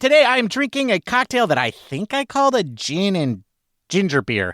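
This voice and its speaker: A man's voice, dry and close with no echo, on a very clean recording against a silent background. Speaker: podcast co-host. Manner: joking, conversational.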